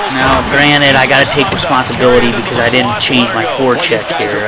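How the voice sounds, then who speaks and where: There's a man talking. Background noise is clearly noticeable. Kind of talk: casual gameplay commentary to camera. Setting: recorded at home on a cheap desktop microphone. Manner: casual, conversational, rambling.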